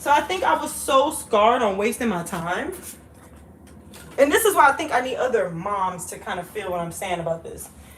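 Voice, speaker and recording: The speaker's tone is animated, with very wide pitch swings and big swings in loudness at a moderate pace. Noticeable background noise runs underneath. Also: woman, fairly high pitch for a woman. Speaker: vlogger. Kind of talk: casual chat.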